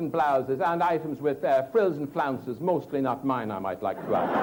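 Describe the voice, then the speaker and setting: A man with an Irish accent talks at a moderate pace with very wide pitch swings, over noticeable background noise. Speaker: Toastmasters speaker. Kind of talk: humorous contest speech.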